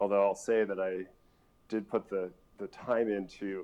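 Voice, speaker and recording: At a moderate pace, a man speaks in a fairly low voice. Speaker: scientist presenting at a conference. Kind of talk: conference talk. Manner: hesitant, many fillers; loud.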